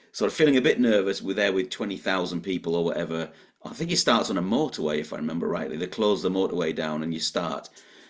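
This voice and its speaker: Amid noticeable background noise, a man with a very deep, low pitch talks at a very fast pace with lively intonation. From northeast England. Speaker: motivational speaker and author. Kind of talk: podcast interview.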